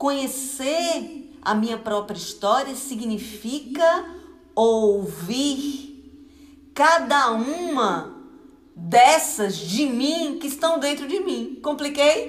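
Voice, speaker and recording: With lively intonation, a high-pitched woman speaks at a very slow pace amid noticeable background noise and audible room echo. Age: 40s. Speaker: pastor. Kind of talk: sermon. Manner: conversational.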